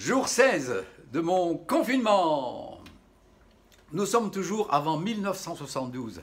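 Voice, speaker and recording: A man's high-pitched voice with very wide pitch swings, at a very slow pace full of long, frequent pauses. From Madagascar. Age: 60s. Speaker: chef and video host. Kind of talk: casual storytelling vlog. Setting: at home during lockdown. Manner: halting, many repetitions.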